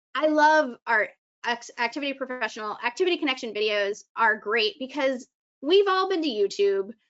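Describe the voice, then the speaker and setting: A woman with a high pitch, an animated tone and very wide pitch swings. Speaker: senior activity content presenter. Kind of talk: live webinar presentation. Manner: fast.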